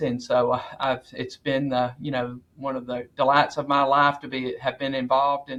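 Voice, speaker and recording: A man with an American accent, fairly high pitch and moderate pace. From US South, northwest Alabama. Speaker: agricultural research center director. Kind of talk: podcast interview.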